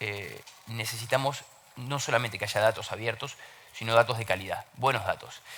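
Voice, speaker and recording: A man with an Argentine accent talks quickly enough, at a fairly quick pace, with medium pitch and ordinary pitch variation. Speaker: open government consultant. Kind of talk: panel talk. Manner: hesitant fillers, repeats words.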